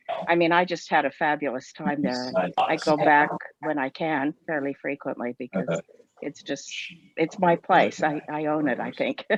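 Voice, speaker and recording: In a dry, close sound with no echo, a woman speaks at a moderate pace with a very deep, low pitch, vocal fry and ordinary pitch variation. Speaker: former university instructor in France, travel enthusiast. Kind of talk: casual chat.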